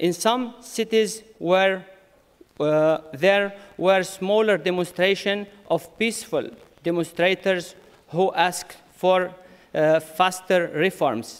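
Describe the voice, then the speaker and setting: Here a man with a non-native accent speaks at a very slow pace and a high pitch. His loudness stays very even, and his pitch variation is ordinary. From Syria. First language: Arabic. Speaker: conference speaker, community leader. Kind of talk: conference speech. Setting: conference with audience. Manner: halting.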